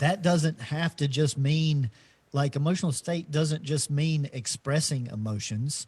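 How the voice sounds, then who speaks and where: A man speaks at a fairly slow pace. His voice is somewhat breathy and fairly high in pitch. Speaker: podcast co-host. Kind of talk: live Q&A explanation. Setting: video call livestream. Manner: hesitant, many fillers.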